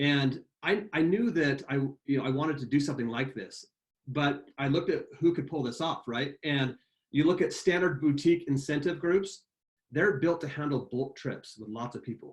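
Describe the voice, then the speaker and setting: Lively intonation and a fairly quick pace, somewhat breathy, with big swings in loudness. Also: man. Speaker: sales executive presenting a webinar. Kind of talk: webinar product presentation. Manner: fast when excited.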